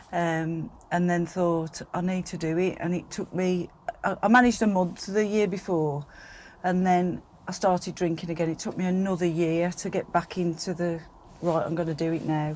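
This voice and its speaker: A woman with a fairly low pitch talks at a moderate pace with fairly even intonation. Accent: West Midlands. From West Midlands, England (Staffordshire border). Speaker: podcast guest, sober community organiser. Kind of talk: interview about personal sobriety journey. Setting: in a van.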